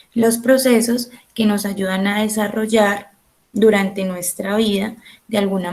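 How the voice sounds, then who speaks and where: Soft-spoken and very slow, a woman talks at a medium pitch with monotone, flat intonation. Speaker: teacher. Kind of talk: online class lecture.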